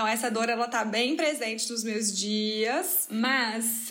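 A woman's fairly high voice with fairly even intonation and audible room echo. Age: 20s. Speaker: master's student, podcast co-host. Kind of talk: casual chat.

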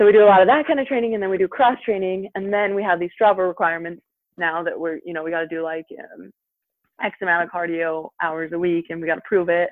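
Talking very fast with an American accent, a woman uses a fairly low pitch with ordinary pitch variation, her loudness swinging widely. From Utah, US. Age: 20s. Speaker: professional snowboarder, Olympian. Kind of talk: interview, casual chat.

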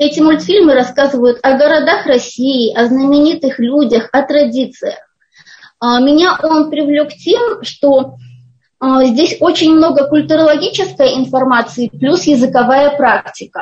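A woman with a high pitch speaks at a fairly slow pace, with ordinary pitch variation and very even loudness. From Kazakhstan, Almaty. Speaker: Russian as a foreign language teacher. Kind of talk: interview.

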